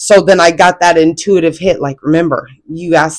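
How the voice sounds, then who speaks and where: A woman with a very deep, low pitch speaks in an American accent. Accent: country twang. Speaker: spiritual content creator. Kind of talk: casual spiritual talk to camera. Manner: halting, many fillers and restarts.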